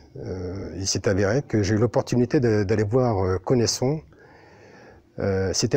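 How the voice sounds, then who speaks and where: A dark, mellow, somewhat breathy voice speaks at a fairly slow pace with ordinary pitch variation, on a very clean recording with a silent background. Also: man. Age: 60s. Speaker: billiards player. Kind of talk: interview monologue. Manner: halting, many fillers.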